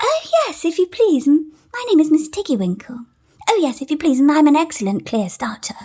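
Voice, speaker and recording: A female-sounding, squeaky put-on character voice speaks at a high pitch and a fairly quick pace. Its pitch swings very widely. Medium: read story. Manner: timid, hesitant, very polite.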